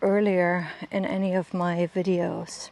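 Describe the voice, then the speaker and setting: A woman with a German accent speaks at a medium pitch. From Germany. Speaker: lifestyle vlogger. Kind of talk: casual vlog monologue. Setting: outdoors on a walk with dog. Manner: hesitant, many fillers and repeats.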